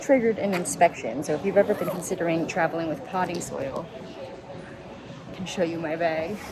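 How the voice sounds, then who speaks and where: A woman's whisper, upbeat in tone and fairly quick, over noticeable background noise. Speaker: plant content creator. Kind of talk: vlog tour narration. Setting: airport, public place. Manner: whispering in public; casual, upbeat.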